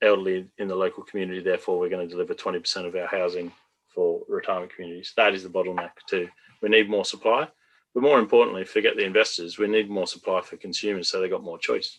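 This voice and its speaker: Here a man speaks with an Australian accent at a very fast pace. The background is quiet. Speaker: retirement community developer. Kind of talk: panel discussion.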